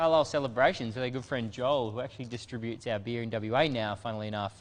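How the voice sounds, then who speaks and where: A man talks at a very fast pace in an Australian accent. His pitch is medium, with ordinary variation. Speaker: brewery staff, panel regular. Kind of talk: casual chat.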